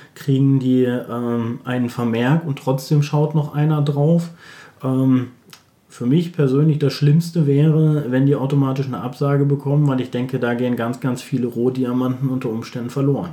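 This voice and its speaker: With fairly level intonation, a normal speaking voice proceeds at a moderate speed. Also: man, medium pitch for a man. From Germany, Bielefeld. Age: 40s. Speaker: recruitment consultant. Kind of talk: interview.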